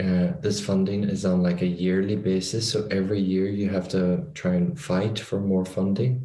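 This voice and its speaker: A man speaks at a moderate pace in a very deep, low voice with a dark, mellow tone, very even loudness, ordinary pitch variation and hardly any pauses. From Ireland. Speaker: podcast host. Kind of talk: casual interview.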